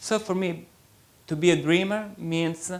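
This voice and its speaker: A man with an Italian accent speaks at a high pitch with ordinary pitch variation. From Italy. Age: young. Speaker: writer. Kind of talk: interview.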